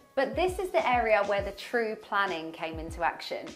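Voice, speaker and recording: A woman speaks at a fairly high pitch and fairly quick pace. Faint background music and audible room echo accompany her. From London. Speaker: TV presenter and interior designer. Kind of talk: presenter showreel, talk to camera. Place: bathroom. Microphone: lapel.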